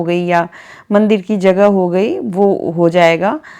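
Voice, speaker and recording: Dark and mellow in tone, a woman speaks with fairly even intonation in a very clean recording with a silent background. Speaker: home vlogger. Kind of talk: home vlog narration. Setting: bedroom at home. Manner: soft-spoken.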